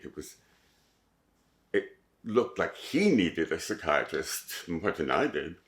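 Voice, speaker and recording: With a Montreal accent, a man speaks at a fairly slow pace. He leaves long, frequent pauses. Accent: English-speaking Montreal Canadian. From Montreal, Quebec. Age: 70s. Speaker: oral history interviewee. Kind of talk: oral history interview. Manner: hesitant, with fillers and repetitions.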